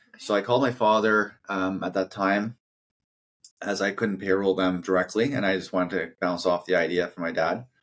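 Speaking in a very deep, low pitch, the man keeps a moderate pace and fairly even intonation. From Canada, New Brunswick. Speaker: company founder and CEO. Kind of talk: interview.

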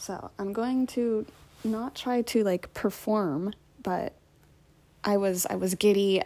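A woman's medium-pitched voice, dark and mellow in tone, with fairly even intonation, on a very clean recording with a silent background. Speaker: TV show reaction podcaster. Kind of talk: casual reaction commentary. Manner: halting, many fillers and repeats.

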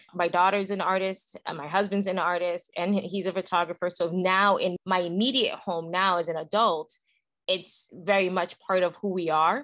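Against a quiet background, a woman talks in a normal speaking voice at a moderate pace, with a medium pitch and fairly even intonation. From Brooklyn, New York. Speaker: podcast co-host. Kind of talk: casual chat.

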